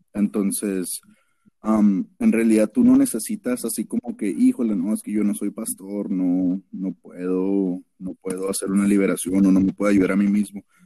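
The recording of this man is dry and close with no echo, and he talks at a moderate pace. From Mexico, Ciudad Juárez. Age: 20s. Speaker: guest sharing religious testimony. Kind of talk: testimony.

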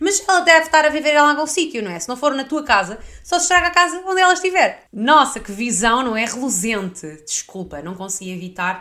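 In a raised, projected voice, a woman speaks at a high pitch and fairly quick pace with a bright, sharp, animated tone, very wide pitch swings and big swings in loudness. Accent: European Portuguese. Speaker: podcast host. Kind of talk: casual chat.

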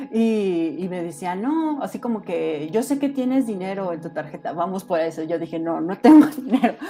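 Over noticeable background noise, a woman talks with hardly any pauses and very wide pitch swings. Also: medium pitch for a woman, moderate pace. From Mexico, Guanajuato city. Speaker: guest telling paranormal stories. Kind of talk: personal storytelling on a podcast.

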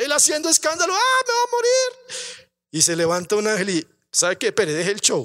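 An animated man's raised, projected voice at a moderate pace, with very wide pitch swings, big swings in loudness and a dry, close sound with no echo. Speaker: pastor. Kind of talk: sermon.

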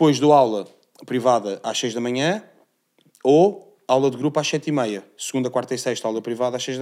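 A plain, everyday voice from a man at medium pitch, fairly quick in pace, on a very clean recording with a silent background. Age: 30s. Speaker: MMA athlete and gym owner. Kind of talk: casual interview.

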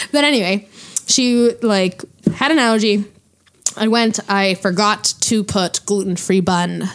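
A woman with a normal speaking voice talks at a fairly slow pace and medium pitch. Her loudness stays very even while her pitch varies in an ordinary way. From Quebec, Hull (Gatineau). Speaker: podcast co-host guest. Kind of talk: casual chat.

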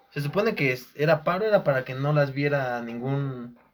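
A man with a Mexican accent and a fairly high pitch. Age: 20s. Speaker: communication student. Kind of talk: casual chat.

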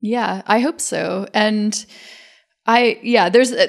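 A woman speaks at a fairly slow pace with an American accent. The recording is very clean, with a silent background. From US South. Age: 40s. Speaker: painter. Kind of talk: casual interview. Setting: artist's studio.

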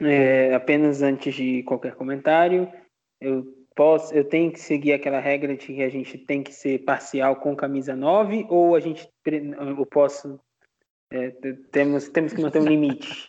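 At a fairly slow pace, a man with a plain, everyday voice speaks with a fairly high pitch, fairly even intonation and big swings in loudness. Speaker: basketball fan podcaster. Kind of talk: casual sports analysis chat.

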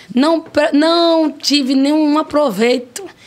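A woman's pitch varies in the usual way while clearly audible noise runs behind her. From Brazil, Piauí (Piripiri). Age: 40s. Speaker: restaurant owner. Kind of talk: interview. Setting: studio.

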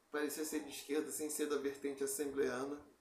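A man's fairly high voice at a moderate pace, monotone and flat in intonation, with audible room echo. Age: 30s. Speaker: podcast co-host. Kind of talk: casual chat.

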